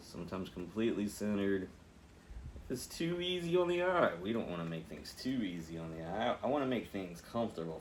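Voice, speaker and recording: A man at a very fast pace, with big swings in loudness and audible room echo. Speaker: painting instructor. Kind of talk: tutorial. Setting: home studio, one earpiece with music. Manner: casual, chatty.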